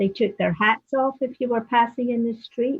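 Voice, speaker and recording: At a moderate pace, the somewhat breathy speech keeps a fairly even intonation. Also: woman. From Scotland. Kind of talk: casual reminiscing conversation.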